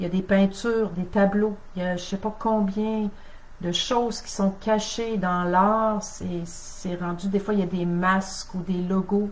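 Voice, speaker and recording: Her pitch medium and her intonation monotone and flat, a woman speaks at a very slow pace over noticeable background noise. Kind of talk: teaching on a live stream. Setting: Facebook live stream.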